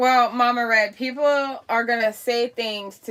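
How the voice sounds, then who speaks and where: With an American accent, a woman talks at a moderate pace. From Miami, Florida. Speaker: live-stream commentator. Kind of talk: political rant on live stream. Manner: loud, boisterous; animated.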